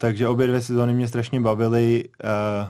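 In a quiet background, a man speaks at a medium pitch with a dark, mellow tone. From Czech Republic, Prague. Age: 30s. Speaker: baseball player. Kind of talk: radio interview. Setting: radio studio.

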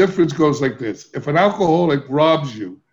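A man with an American accent speaks in a somewhat breathy voice with ordinary pitch variation. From US inner city. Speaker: addiction recovery expert. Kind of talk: interview.

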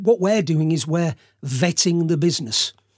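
A man with a British accent speaks at a high pitch with ordinary pitch variation in a very clean, dry, close recording with no echo and a silent background. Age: 50s. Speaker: investment platform founder. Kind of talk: interview.

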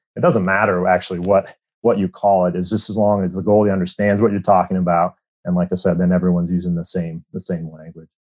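Talking at a very fast pace, a man with an American accent uses a very deep, low pitch and a monotone, flat intonation. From Iowa, US Midwest. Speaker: goaltending coach, former pro hockey goalie. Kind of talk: interview.

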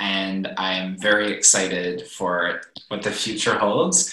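The room echo is audible. Through it, a man speaks at a fairly slow pace. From East Coast of Canada. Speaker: musician. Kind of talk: interview. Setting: video call.

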